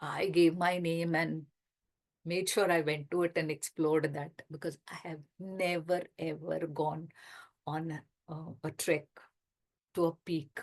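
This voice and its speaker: A woman with an Indian accent speaks at a fairly slow pace in a monotone, flat delivery. She leaves long, frequent pauses against a quiet background. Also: fairly low pitch for a woman. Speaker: retirement lifestyle coach and author. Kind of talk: talk in an online workshop session.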